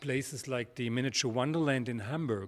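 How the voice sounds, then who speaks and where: A man speaks at a medium pitch with a German accent. His pitch varies in an ordinary way. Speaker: product presenter for a model landscape manufacturer. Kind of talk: product presentation. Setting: studio. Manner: halting, frequent repetitions.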